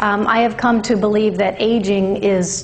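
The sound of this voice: A woman's slightly mellow voice, fairly slow, with little pitch movement and audible room echo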